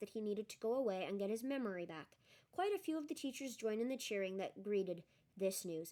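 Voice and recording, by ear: The text is read aloud in a natural voice.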